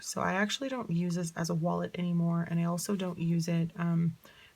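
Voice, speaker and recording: The speaker is a woman with a fairly low pitch. Her voice is somewhat breathy. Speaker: planner vlogger. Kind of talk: casual tutorial vlog.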